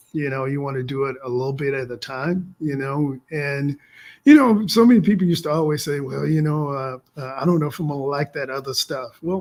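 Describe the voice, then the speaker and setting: A man speaks quite quickly in an unremarkable speaking voice. His pitch is fairly high with ordinary variation, and his loudness swings widely. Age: 60s. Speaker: vegan lifestyle coach and business owner. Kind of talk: interview.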